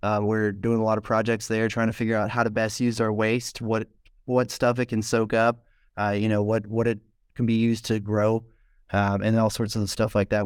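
This man's pitch sits fairly low. His delivery is monotone and flat, with very even loudness. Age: young. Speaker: mushroom farm founder. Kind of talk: casual interview. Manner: halting, many fillers.

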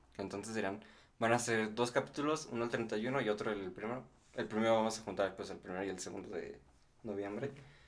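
Speaking at a fairly quick pace yet with long, frequent pauses, a man keeps a fairly low pitch and fairly even intonation. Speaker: podcast co-host. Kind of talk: casual chat. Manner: mumbling; laughing.

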